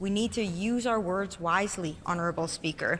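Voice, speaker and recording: In a Canadian accent, a woman with a medium-pitched, bright, sharp voice speaks at a moderate pace with ordinary pitch variation. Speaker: legislator. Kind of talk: parliamentary speech. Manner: carefully articulated.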